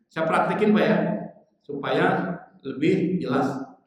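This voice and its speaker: Amid audible room echo, a man speaks at a moderate pace with lively intonation. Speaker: Islamic preacher. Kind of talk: sermon. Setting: mosque congregation after dawn prayer. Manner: conversational, addresses audience directly.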